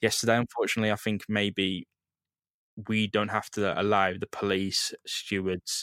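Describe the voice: The tone is fairly bright, clear and smooth, with little pitch movement at a moderate pace. The sound is dry and close, with no echo. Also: man, fairly low pitch for a man.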